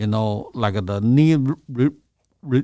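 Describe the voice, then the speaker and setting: This speaker talks at a fairly slow pace with ordinary pitch variation and a Chinese accent. The recording is very clean and the background silent. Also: man. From China. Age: 60s. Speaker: massage therapist. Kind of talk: interview answer.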